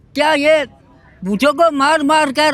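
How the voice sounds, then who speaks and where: Against noticeable background noise, a man speaks at an extremely high pitch. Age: 70s. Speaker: member of the public interviewed. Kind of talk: street interview. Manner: animated.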